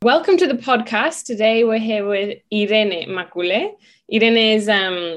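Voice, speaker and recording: Against a quiet background, a woman with a plain, everyday voice talks at a fairly slow pace with ordinary pitch variation. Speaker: podcast host. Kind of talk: casual interview chat.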